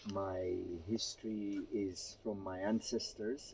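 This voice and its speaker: The speaker is a man. Noticeable background noise runs through the clip. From Kenya (Gujarati family). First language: Gujarati. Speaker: interviewee sharing family history. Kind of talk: interview, family history account.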